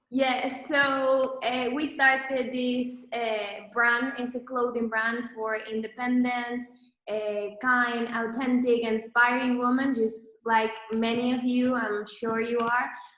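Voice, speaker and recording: Audible room echo surrounds a woman who speaks very slowly in a high pitch with a monotone, flat intonation. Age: 20s. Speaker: entrepreneur, clothing brand co-founder. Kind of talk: presentation to online audience. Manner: hesitant, many fillers.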